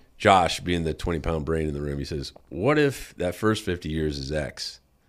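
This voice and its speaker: Lively intonation runs through this very clean recording, which has a silent background. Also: man. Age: 50s. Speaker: retired Marine officer and author. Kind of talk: interview. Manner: halting.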